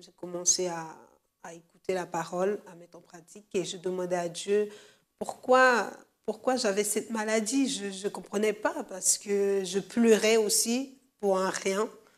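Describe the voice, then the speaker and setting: A woman speaks at a fairly slow pace and a medium pitch. Her pitch varies in an ordinary way while her loudness swings widely. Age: 20s. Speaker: church member giving testimony. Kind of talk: testimony. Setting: studio. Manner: hesitant, many fillers.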